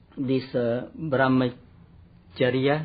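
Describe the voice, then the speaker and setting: Speaking with a Cambodian accent, a man holds a medium pitch and fairly even intonation. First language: Khmer. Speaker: Buddhist monk. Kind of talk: interview answer.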